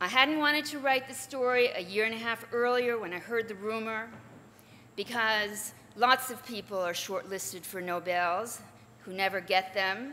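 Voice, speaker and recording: With big swings in loudness, a woman talks at a moderate pace, her pitch fairly high with ordinary variation. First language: not English. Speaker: journalist and author. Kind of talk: commencement speech.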